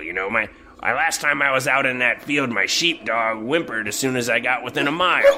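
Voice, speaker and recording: A man puts on a gruff character voice at medium pitch, talking at a fairly quick pace over clear background noise. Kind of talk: game master character voice. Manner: gruff, curt, impatient.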